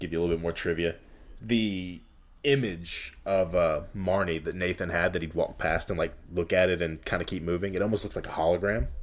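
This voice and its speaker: On a very clean recording with a silent background, a man with a Southern US accent speaks fairly quickly in a very deep, low voice with ordinary pitch variation. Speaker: podcast host. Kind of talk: casual chat.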